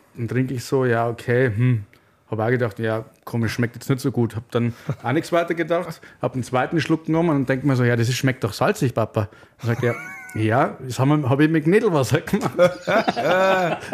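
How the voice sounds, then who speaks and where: A man talks at a very fast pace. His voice sits at medium pitch with ordinary pitch variation. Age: 30s. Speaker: radiologist and beer influencer. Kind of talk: casual chat. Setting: studio.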